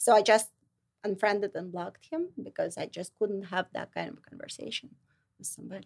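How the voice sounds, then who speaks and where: A woman with a Russian accent speaks at a fairly quick pace with big swings in loudness, the sound dry and close with no echo. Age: 40s. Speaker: licensed counselor and model. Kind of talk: interview.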